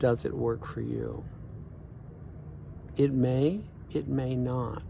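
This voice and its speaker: A man at a very slow pace, with audible room echo. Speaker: life coach. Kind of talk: vlog monologue. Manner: thoughtful.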